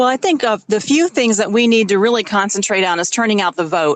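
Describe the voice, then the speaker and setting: Talking very fast with lively intonation, a woman with a northern US accent and fairly high pitch comes through in a dry, close sound with no echo. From upstate New York. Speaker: state party official. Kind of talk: interview.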